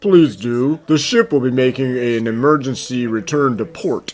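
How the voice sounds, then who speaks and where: With faint music in the background, a man puts on a character voice at a medium pitch and a moderate pace. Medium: fan dub. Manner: gruff but earnest.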